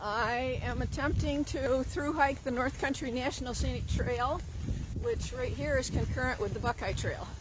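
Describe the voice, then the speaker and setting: Noticeable background noise runs through the clip. The sound itself is dry with no echo. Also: woman, moderate pace. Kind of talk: interview answer. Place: waterside. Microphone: phone near.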